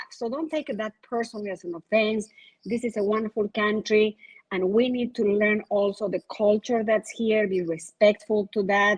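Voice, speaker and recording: With a non-native accent, a woman speaks at a moderate pace in a fairly high, somewhat breathy voice, recorded dry and close with no echo. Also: fairly even intonation. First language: Spanish. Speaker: insurance agent, panelist. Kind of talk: panel discussion. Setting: virtual event.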